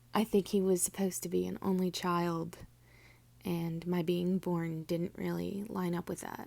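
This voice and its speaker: Over a silent background on a very clean recording, the voice has a dark, mellow tone and monotone, flat intonation in an American accent. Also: woman, fairly low pitch for a woman, moderate pace. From southern New Jersey, US. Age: 30s. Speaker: wellness content creator. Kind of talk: personal testimony. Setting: recording in the dark.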